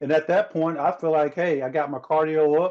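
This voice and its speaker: A plain, everyday voice from a man with an American accent, fairly high-pitched, at a moderate pace against a quiet background. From US South. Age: 40s. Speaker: former pro basketball player and motivational speaker. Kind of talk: interview conversation.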